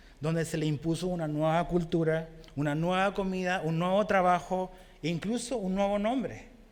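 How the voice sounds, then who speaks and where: Room echo can be heard around the speaker. He is a man with a high voice. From Chile. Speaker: pastor. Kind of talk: sermon.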